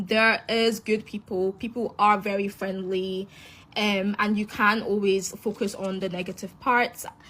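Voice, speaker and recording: A woman with a Scottish accent, fairly slow and monotone with flat intonation. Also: medium pitch for a woman. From Scotland, Glasgow (moved from Nigeria at five). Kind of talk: casual testimony.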